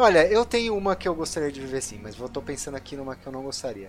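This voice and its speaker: A man with lively intonation, a plain, everyday voice and a fairly quick pace. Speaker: podcast host, computer scientist. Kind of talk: casual chat.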